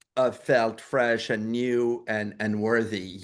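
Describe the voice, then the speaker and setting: Over a quiet background, a man of medium pitch talks with a French accent. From France. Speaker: documentary filmmaker. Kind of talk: interview. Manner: halting, many repeated words.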